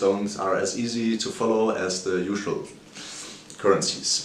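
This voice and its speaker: A man with a German accent speaks at a fairly slow pace in a fairly low voice with ordinary pitch variation. Noticeable background noise and audible room echo are present. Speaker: finance video creator. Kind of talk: video commentary on a stock. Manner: halting, some self-corrections.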